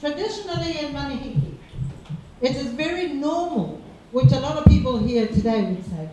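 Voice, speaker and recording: A woman's speech carries audible room echo, and noticeable background noise sits behind it. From Cook Islands. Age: 60s. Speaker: public speaker. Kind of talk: seminar talk.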